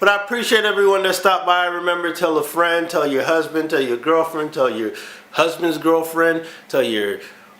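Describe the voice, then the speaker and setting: A man speaks at a high pitch with ordinary pitch variation. There is audible room echo along with noticeable background noise. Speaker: car vlogger. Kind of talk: casual vlog. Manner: fast.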